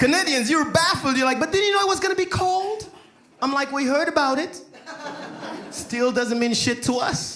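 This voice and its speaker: In a room with audible echo and noticeable background noise, a man with an extremely high pitch projects his raised voice at a moderate pace, with lively intonation and long, frequent pauses. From Saint Lucia. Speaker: stand-up comedian. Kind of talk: stand-up. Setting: stage with audience.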